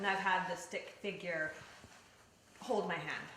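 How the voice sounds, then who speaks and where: Against noticeable background noise and audible room echo, a woman with a Canadian accent speaks in an animated tone at a moderate pace. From British Columbia. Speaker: paranormal investigator. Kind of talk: interview. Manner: loud.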